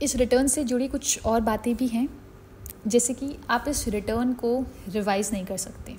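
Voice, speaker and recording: Her voice sits at a high pitch. The woman keeps a fairly even intonation. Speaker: chartered accountant. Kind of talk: educational explainer on tax law.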